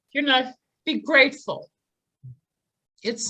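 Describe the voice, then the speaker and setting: Raising and projecting her voice, a woman speaks at a high pitch with ordinary pitch variation and a bright, sharp tone, the sound dry and close with no echo. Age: 60s. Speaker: psychic healer and near-death experiencer. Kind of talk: interview testimony. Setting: podcast interview.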